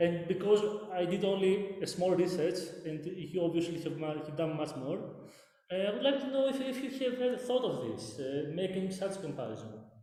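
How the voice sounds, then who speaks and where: Over noticeable background noise and audible room echo, a man with a Greek accent talks at a fairly quick pace and a high pitch, his intonation lively. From Greece. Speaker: academic researcher. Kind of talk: conference Q&A question. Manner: halting, many fillers.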